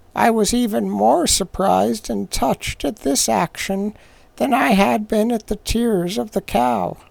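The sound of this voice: An unforced reading voice carries the words.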